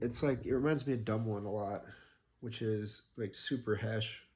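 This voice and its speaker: Somewhat breathy, a man of medium pitch speaks at a fairly slow pace. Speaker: fingerboarder. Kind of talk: casual talk to camera.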